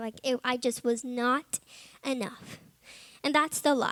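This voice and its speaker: A woman speaks at a fairly slow pace with a high pitch and ordinary pitch variation. The sound is dry and close, with no echo. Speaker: Bible college student giving testimony. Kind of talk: testimony. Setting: chapel service with audience. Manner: loud; animated.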